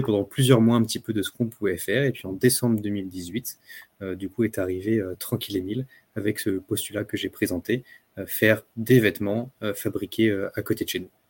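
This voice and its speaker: A man with a normal speaking voice talks at a fairly quick pace and fairly low pitch, with fairly even intonation. The recording is very clean with a silent background, the sound dry and close with no echo. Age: 30s. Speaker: clothing brand co-founder, entrepreneur. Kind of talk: podcast interview.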